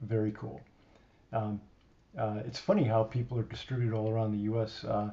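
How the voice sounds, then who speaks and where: A man's somewhat breathy voice at medium pitch, with a dark, mellow tone and fairly even intonation. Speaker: live streamer. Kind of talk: casual chat. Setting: live stream. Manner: slurred enunciation; halting with fillers.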